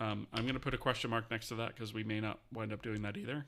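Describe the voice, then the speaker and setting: A mumbling man with a fairly low pitch. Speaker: game engine developer streamer. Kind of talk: live-streamed coding tutorial. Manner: fast.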